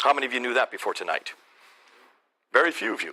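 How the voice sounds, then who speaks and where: This is a man speaking with an American accent. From India (American missionary school in the Himalayas). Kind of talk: lecture to a church audience.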